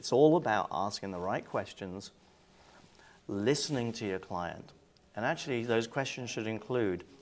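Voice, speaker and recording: A man with an English accent, lively intonation and a moderate pace. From England. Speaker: cruise line sales executive. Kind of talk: interview. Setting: industry event.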